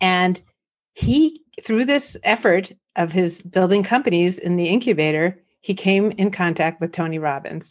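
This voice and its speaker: A woman speaks at a moderate pace with an American accent. Her pitch varies in an ordinary way. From US West Coast, San Fernando Valley, California. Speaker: entrepreneur, community founder. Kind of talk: interview. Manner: animated.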